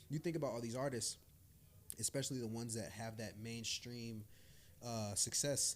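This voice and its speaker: A man with an American accent keeps his intonation fairly even. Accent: faint Southern Atlanta accent, code-switches. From Atlanta, Georgia (US South), New York parents. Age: 20s. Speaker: R&B/hip-hop artist. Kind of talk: podcast interview. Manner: casual, many fillers and restarts.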